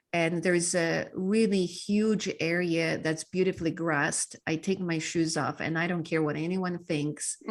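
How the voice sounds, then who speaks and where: A fairly low-pitched woman with a Polish accent, fairly slow with hardly any pauses, in a monotone, flat intonation. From Poland. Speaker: mindset coach and speaker. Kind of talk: podcast interview.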